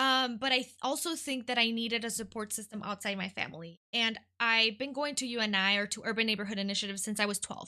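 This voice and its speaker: A woman's very fast speech with a Midwestern US accent, a bright, sharp tone, fairly high pitch and ordinary pitch variation against a quiet background. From California, then Detroit. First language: Spanish. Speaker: nonprofit worker, guest. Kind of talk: casual interview.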